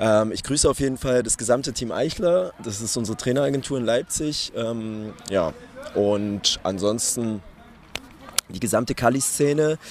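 Noticeable background noise accompanies a man speaking at a moderate pace and medium pitch. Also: ordinary pitch variation. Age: 20s. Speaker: calisthenics athlete. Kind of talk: interview. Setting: live at a competition venue.

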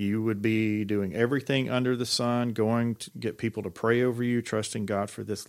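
In a Southern US accent, a man talks at a moderate pace with a fairly low pitch and fairly even intonation, on a very clean recording with a silent background. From Georgia. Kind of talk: casual chat. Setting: studio.

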